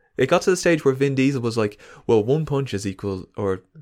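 Recorded very cleanly against a silent background, a man talks at a very fast pace with ordinary pitch variation. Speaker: podcast guest. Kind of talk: casual banter. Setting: studio.

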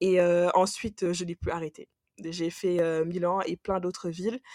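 Fairly slow and medium in pitch, a woman's voice has a dark, mellow tone. The sound is dry and close, with no echo. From Senegal. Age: 20s. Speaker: engineer, travel guest. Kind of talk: casual chat.

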